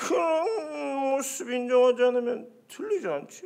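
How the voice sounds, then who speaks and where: A put-on character voice, fairly high in pitch, with very wide pitch swings and a fairly slow pace. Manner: imitating a voice.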